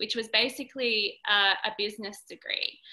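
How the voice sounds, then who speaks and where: A woman's fairly high voice in an Australian accent, with fairly even intonation at a moderate pace. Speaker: dancer and dance educator. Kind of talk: interview.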